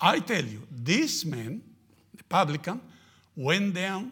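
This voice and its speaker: A man speaks at a fairly slow pace in a Spanish accent. His intonation is lively. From Argentina. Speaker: missionary. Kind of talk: sermon. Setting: church. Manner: halting.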